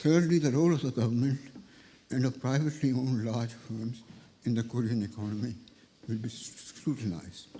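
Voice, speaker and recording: A man's medium-pitched voice at a fairly quick pace, with long, frequent pauses and audible room echo. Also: ordinary pitch variation. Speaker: economics professor. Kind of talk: reading a prepared lecture.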